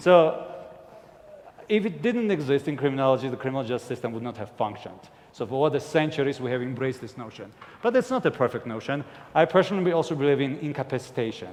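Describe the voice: At a fast pace, a man speaks at medium pitch with a slightly mellow tone and lively intonation.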